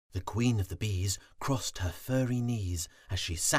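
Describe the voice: Plain reading aloud marked by ordinary pitch variation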